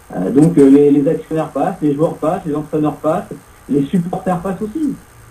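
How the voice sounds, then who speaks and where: Fairly high male voice with lively intonation at a moderate pace, long, frequent pauses and noticeable background noise. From Paris. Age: 40s. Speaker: radio host. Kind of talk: casual chat.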